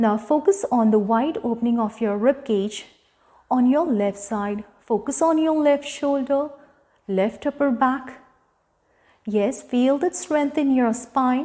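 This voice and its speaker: A soft-spoken woman with an Indian accent talks at a very slow pace, her high voice dark and mellow with a calm, soothing tone. Her pitch varies in an ordinary way against a quiet background. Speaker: yoga instructor. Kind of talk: guided yoga class instruction. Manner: calm, soft, soothing cueing. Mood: calm, guiding. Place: home room. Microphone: lapel.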